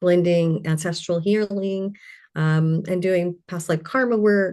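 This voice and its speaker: A woman with an American accent uses a normal speaking voice, fairly low in pitch, with fairly even intonation at a fairly slow pace. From Louisiana and Colorado. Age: 60s. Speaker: intuitive healer. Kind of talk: interview.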